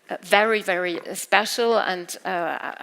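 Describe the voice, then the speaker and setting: A woman speaks in a German accent with a bright, sharp tone. Her intonation stays fairly even. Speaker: literary event moderator. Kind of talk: moderated literary talk. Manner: halting.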